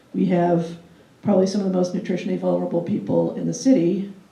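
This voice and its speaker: A woman's voice carries audible room echo. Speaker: city government food policy official. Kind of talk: guest lecture. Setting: classroom with live audience. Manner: conversational, with frequent fillers.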